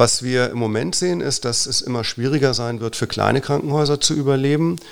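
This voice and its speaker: A man talks with ordinary pitch variation and a moderate pace in a plain, everyday voice. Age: 40s. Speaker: physician and hospital manager. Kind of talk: casual interview.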